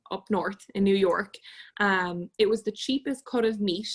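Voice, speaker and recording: Somewhat breathy and in an Irish accent, the speech has fairly even intonation and a moderate pace, with a dry, close sound and no echo. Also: woman. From Ireland, Galway. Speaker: podcast guest coordinator. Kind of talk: casual chat.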